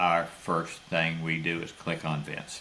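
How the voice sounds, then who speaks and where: With noticeable background noise and audible room echo, a man speaks very slowly in a very deep, low pitch. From Florida. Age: 70s. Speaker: cattle rancher. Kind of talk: interview.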